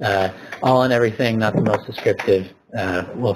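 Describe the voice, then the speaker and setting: A man speaks in a fairly low pitch. His voice is somewhat breathy. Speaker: software developer presenter. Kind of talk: live software demo tutorial. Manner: halting, many fillers.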